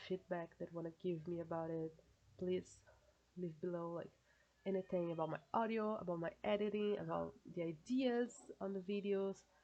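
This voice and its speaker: With a Brazilian accent, a woman speaks at a fairly low pitch. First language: Portuguese. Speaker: YouTuber. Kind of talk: casual reaction vlog. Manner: halting, hesitant.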